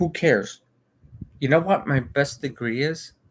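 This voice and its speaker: Speaking at a very slow pace, a man with an American accent uses lively intonation. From United States. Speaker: livestreamer. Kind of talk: casual livestream chat. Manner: halting, many fillers and repetitions.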